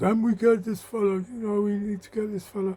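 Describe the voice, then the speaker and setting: A man's put-on character voice, high-pitched and monotone with flat intonation, at a fairly quick pace with big swings in loudness. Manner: commanding.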